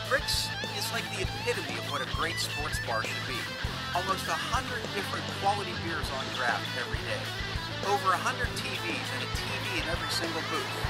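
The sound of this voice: A man at a fairly quick pace over loud background music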